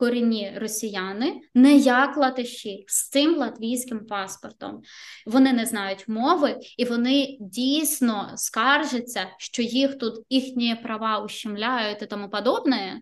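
Speaking at a very slow pace, a woman uses a high voice with ordinary pitch variation. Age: 20s. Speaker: front-end developer. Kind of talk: casual interview.

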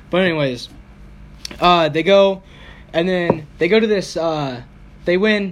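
Noticeable background noise around a man's speech, his pitch varying in an ordinary way. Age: 20s. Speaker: podcast host. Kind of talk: casual chat.

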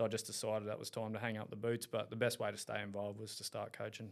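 Talking very fast, a man speaks in an Australian accent. His medium pitch stays monotone and flat. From Australia, Caloundra, Queensland. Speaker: rugby league coach. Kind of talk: casual chat.

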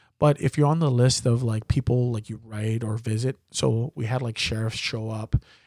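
The intonation is fairly even, and the sound is dry and close with no echo. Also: man. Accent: Hawaiian. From Hawaii, Waianae (Oahu). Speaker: voice-over comedian and content creator. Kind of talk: casual chat.

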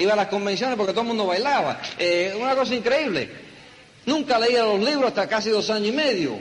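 A man speaks very fast at a high pitch with very even loudness, over noticeable background noise. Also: ordinary pitch variation. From New York, the Bronx. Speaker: network marketing leader. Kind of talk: motivational talk.

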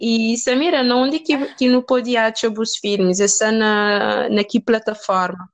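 A woman with an unremarkable speaking voice talks at a fairly slow pace with hardly any pauses, a fairly high pitch, ordinary pitch variation and very even loudness. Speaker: podcast host. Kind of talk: interview.

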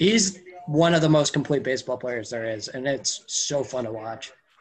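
A man speaks with lively intonation at a moderate pace while music plays in the background. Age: 20s. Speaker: sports blogger. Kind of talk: casual chat.

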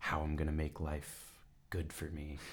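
A man with a very deep, low voice and a Californian accent. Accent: Californian American. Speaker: creative writing student and author. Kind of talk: casual interview.

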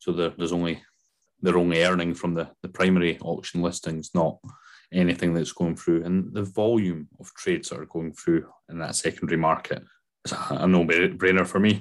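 Over a quiet background, a man speaks at a moderate pace in a very deep, low pitch, his intonation monotone and flat while his loudness swings widely. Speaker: podcast host. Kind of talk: casual podcast chat.

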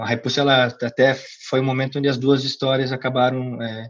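This is a man talking. His pitch is medium for a man. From Curitiba, Paraná, southern Brazil. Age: 20s. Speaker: CrossFit gym co-founder. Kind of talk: interview. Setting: call. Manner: hesitant, many filler repetitions.

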